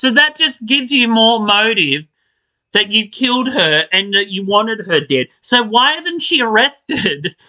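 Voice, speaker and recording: In a raised, projected voice, a high-pitched man with a bright, sharp tone makes very wide pitch swings, recorded dry and close with no echo. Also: fairly slow pace. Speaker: soap opera podcaster. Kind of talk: casual rant. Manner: animated.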